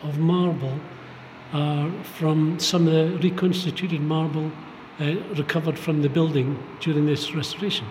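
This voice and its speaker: The intonation stays fairly even. Room echo is audible, and background noise is noticeable. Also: man. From Fraserburgh, north-east Scotland. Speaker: artist and stone carver. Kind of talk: casual interview. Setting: gallery remembrance hall.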